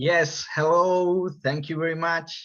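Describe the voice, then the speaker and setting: Against a quiet background, a man speaks at a fairly slow pace. His voice has a fairly high pitch and a bright, sharp tone. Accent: Spanish. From Galicia, Spain. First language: Spanish. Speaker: musician. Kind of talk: interview.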